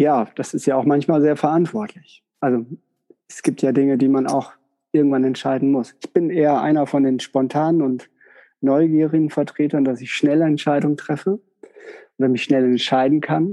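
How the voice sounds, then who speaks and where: A man speaks at a moderate pace in an ordinary speaking voice, his pitch fairly high and his intonation fairly even. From northern Germany (Westerkappeln). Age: 40s. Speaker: psychotherapist. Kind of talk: interview.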